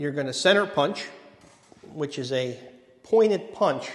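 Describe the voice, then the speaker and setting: Audible room echo surrounds the recording. A man speaks at a fairly slow pace. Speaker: presenter. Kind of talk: lecture. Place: hall. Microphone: handheld.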